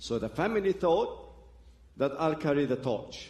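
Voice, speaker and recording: This man has an Arabic accent. He talks at a moderate speed. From Lebanon (Beirut). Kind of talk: testimony. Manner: halting.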